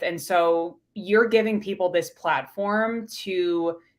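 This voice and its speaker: A woman speaks with a slight New York accent and ordinary pitch variation. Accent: New York accent, slight, shows on some words. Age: 30s. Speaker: pharmacist and business coach. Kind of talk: podcast interview.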